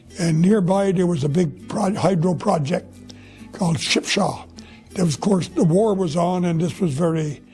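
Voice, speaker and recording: Music plays behind a man with a high pitch who speaks at a moderate pace, with very even loudness and ordinary pitch variation. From Quebec, Gaspé Peninsula. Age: 80s+. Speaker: retiree. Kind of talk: life story interview. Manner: halting.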